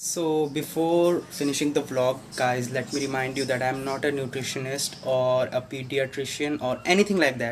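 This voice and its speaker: Moderately paced and with hardly any pauses, a man speaks in a Tripura accent. His intonation is fairly even, and there is light background noise. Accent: Indian English (Tripura). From North Tripura, India. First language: not English. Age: 20s. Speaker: student. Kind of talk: casual cooking vlog talk to camera. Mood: relaxed, playful. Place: kitchen. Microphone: phone near.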